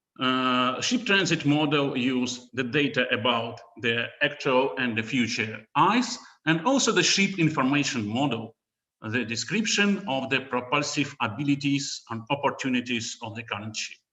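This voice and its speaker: This man speaks with a strong Russian accent. His intonation is lively. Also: medium pitch for a man, moderate pace. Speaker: researcher. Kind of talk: conference talk. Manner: halting.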